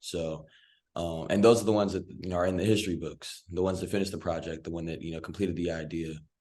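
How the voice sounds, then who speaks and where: A man's very deep, low, dark and mellow voice with an American accent, very fast pace and fairly even intonation. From Virginia, US. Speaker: filmmaker. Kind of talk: podcast panel discussion.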